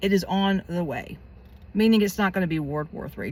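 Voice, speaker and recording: Animated in tone, the speaker comes through on a very clean recording with a silent background. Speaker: psychic predictions youtuber. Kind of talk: casual monologue. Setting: in a car.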